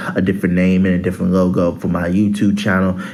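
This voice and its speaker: A man's voice carries audible room echo, with background noise noticeable throughout. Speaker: sports YouTuber. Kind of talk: casual sports commentary vlog. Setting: on college campus. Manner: hesitant, many fillers.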